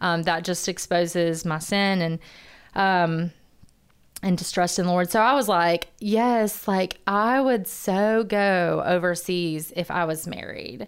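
An American-accented woman speaks fairly slowly at a medium pitch. Her pitch variation is ordinary, and the recording is very clean with a silent background. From Alabama, US South. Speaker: church missions staff and former teacher. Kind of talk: personal testimony. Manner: joyful, laughs often.

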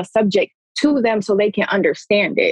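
A woman speaks at medium pitch in a Detroit accent. Her tone is animated, with ordinary pitch variation. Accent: Detroit-area American English. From US Midwest, Pontiac, Michigan (Metro Detroit). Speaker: former pro basketball player, social work PhD student. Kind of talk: casual chat.

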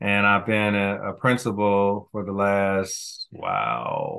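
Pitched fairly low, this man talks with an American accent. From US Midwest, Kansas City, Missouri. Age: 50s. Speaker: school principal, educator. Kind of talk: interview, casual chat.

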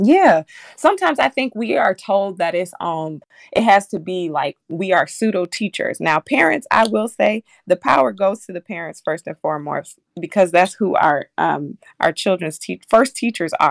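A woman with an American accent speaks in an ordinary speaking voice at medium pitch and a moderate pace, her intonation lively and the sound dry and close with no echo. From Minneapolis north side, Minnesota. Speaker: early childhood program worker. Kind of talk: radio interview.

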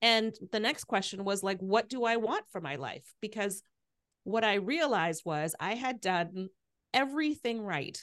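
A woman with an unremarkable speaking voice talks at a moderate pace and fairly high pitch, her intonation lively. The background is quiet. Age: 50s. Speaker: podcast host and midlife coach. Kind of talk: interview conversation. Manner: frequent fillers (um, like, you know).

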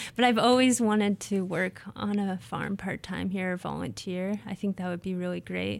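A woman's ordinary speaking voice at a medium pitch and moderate pace, with fairly even intonation on a very clean recording with a silent background. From Nebraska, US Midwest. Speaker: graduate student, soil scientist. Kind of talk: interview about her research. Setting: radio studio.

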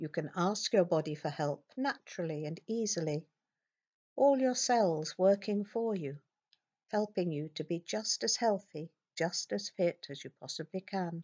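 A woman speaks in a normal speaking voice at a fairly low pitch. Her pace is fairly slow and her intonation lively. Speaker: hypnotherapist guiding self-hypnosis. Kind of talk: guided self-hypnosis script with soothing suggestions. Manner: slow, soft, gentle and soothing; calm, unhurried, with long pauses.

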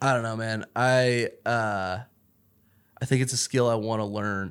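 This is a man's voice. It sits at a medium pitch. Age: 30s. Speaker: podcast guest. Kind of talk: casual chat. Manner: animated.

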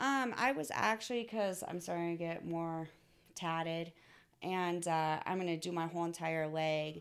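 Recorded very cleanly against a silent background, a woman with a fairly low pitch speaks at a fairly slow pace in a normal speaking voice, with ordinary pitch variation. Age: 20s. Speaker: online adult content creator. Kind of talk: casual chat. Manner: laughs often.

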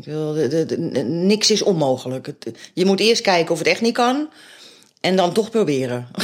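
A woman with a fairly low pitch speaks at a moderate pace. Her pitch swings very widely. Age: 50s. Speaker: local politician and foster parent. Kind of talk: interview. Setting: at home. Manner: halting.

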